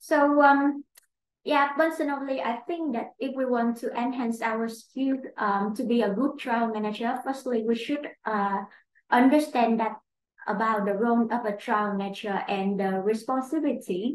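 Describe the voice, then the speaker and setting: A woman with a Vietnamese accent speaks at a moderate pace with ordinary pitch variation, with light background noise and audible room echo. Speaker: clinical trial operations manager; webinar panelist. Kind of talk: webinar presentation. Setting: online webinar. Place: office. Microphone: webcam.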